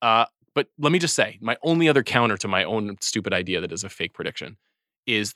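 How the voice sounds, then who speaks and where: A man speaks at a fairly quick pace in a plain, everyday voice with ordinary pitch variation. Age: 40s. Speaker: film podcast host. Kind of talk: casual chat.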